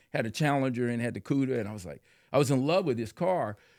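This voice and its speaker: A man speaks with an American accent in an ordinary speaking voice of medium pitch, with ordinary pitch variation. The recording is very clean, with a silent background. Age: 60s. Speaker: car enthusiast and biker. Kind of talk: casual chat.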